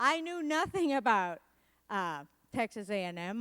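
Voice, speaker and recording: This woman talks with a Spanish accent. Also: very clean recording, silent background. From Puerto Rico. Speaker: motivational speaker and comedian. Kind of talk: keynote speech. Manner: animated.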